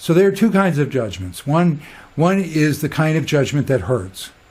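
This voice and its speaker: A somewhat breathy man delivers his words fairly quickly, with lively intonation. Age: 60s. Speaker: spiritual teacher. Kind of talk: casual monologue. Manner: animated; halting.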